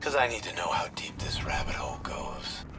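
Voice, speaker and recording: Over loud background noise, a man whispers in a put-on character voice at a moderate pace. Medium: machinima. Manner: grim, intense.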